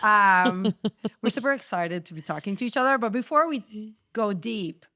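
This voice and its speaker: A woman with a Quebec accent sounds animated, with a bright, sharp tone and lively intonation. Her loudness swings widely on a very clean recording with a silent background. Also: fairly high pitch for a woman, moderate pace. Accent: French Canadian accent in English. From Quebec, French Canada. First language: French. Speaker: podcast host, chemical engineer. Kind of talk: casual chat.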